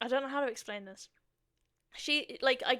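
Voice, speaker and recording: A woman speaks with a British accent. The recording is very clean and the background silent. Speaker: podcast host. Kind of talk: casual chat. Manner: animated.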